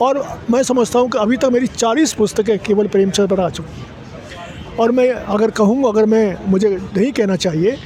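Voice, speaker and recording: A high-pitched man talks with hardly any pauses and ordinary pitch variation. Noticeable background noise is present. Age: 80s+. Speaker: literary scholar and author. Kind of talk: interview. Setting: literature festival.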